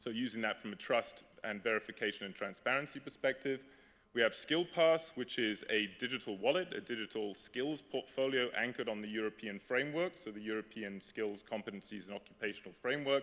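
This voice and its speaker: An ordinary speaking voice from a man, medium in pitch, at a fairly quick pace with ordinary pitch variation. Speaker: startup founder. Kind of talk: conference talk.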